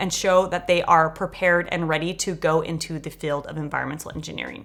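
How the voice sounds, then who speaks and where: With an American accent and a fairly low pitch, a woman talks at a fairly quick pace in a plain, everyday voice. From Los Angeles, US. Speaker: grad school application coach. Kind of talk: scripted narration; feedback session over video call. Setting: video call.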